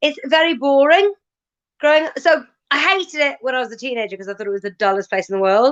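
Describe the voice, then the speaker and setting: Very fast speech with very wide pitch swings, in a west Welsh accent. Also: woman, high pitch for a woman. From west Wales, Ceredigion near Aberystwyth. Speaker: comedian. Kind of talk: casual chat.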